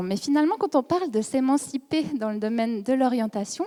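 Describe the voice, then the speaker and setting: With a slight Swiss French accent, a woman talks at a fairly quick pace in a high, dark, mellow voice with very wide pitch swings, recorded dry and close with no echo. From Switzerland. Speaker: psychology researcher. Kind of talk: conference lecture.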